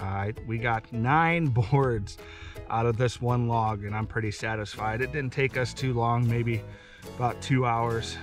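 A man's voice, dry with no echo, over faint music in the background. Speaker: homesteader vlogger. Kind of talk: casual vlog outro. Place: forest. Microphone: camera far.

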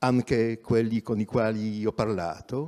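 A man speaks with a non-native accent. The background is quiet. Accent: non-native Italian. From Poland. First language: Polish (speaking Italian). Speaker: journalist and activist; journalist. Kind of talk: talk at public event. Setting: theatre stage, livestreamed. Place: stage. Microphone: handheld.

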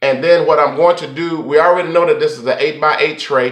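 Against audible room echo, a man talks at a moderate pace in a monotone, flat intonation. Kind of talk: tutorial.

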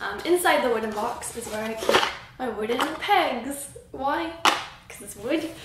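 A woman's voice amid loud background noise and audible room echo. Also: moderate pace. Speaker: craft YouTuber. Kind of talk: casual vlog. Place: home room. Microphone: camera far.

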